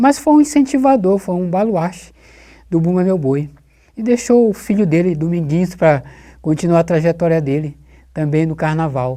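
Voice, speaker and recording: A man speaks with a high pitch and lively intonation, his dark, mellow tone broken by long, frequent pauses. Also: moderate pace. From Brazil, São Luís do Maranhão. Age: 60s. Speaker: carnival designer. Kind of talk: oral history interview.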